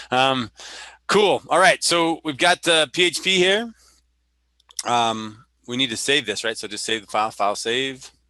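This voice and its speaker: In an American accent, the speaker has a bright, sharp tone and very wide pitch swings, going at a fairly slow pace with long, frequent pauses. The sound is dry and close, with no echo. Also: man, medium pitch for a man. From US, military family, roots in Missouri Bootheel. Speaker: workshop instructor. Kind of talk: tutorial. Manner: halting.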